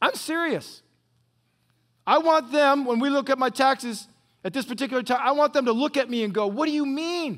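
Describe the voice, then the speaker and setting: A man speaks at an extremely high pitch in an animated tone and a fairly quick pace. The recording is very clean, with a silent background. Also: ordinary pitch variation. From US Midwest, northwest Ohio. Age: 60s. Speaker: retired pastor. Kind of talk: sermon. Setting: church.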